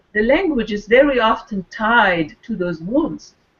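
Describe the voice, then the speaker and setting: A woman with a French accent talks at a fairly slow pace, somewhat breathy. Her pitch is fairly high and her intonation lively. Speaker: wellness circle participant. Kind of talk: casual chat. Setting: video call.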